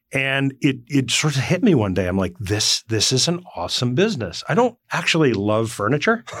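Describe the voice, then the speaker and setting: With an American accent, a man talks at a moderate pace in a mid-range pitch, his voice swinging very widely in pitch and hardly ever pausing. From northwestern New Jersey, Morris County. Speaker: company CEO. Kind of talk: interview conversation. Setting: studio.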